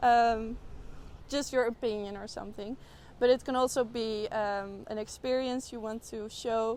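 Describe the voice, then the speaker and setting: The intonation stays fairly even. The recording is very clean, with a silent background. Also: woman, fairly high pitch for a woman, moderate pace, big swings in loudness. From Netherlands. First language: Dutch. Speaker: art student. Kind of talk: interview. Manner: halting, many fillers.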